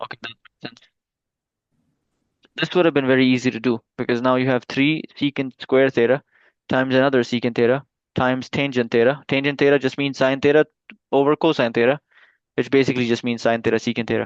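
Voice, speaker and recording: Speaking very fast yet with long, frequent pauses, a man at a medium pitch keeps a monotone, flat intonation in a dry, close sound with no echo. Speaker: math tutor. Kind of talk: tutoring session.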